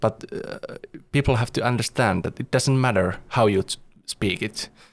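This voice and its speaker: A man with a Finnish accent speaks at a moderate pace. His medium-pitched voice shows ordinary pitch variation. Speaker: podcast host. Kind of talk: podcast interview. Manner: halting.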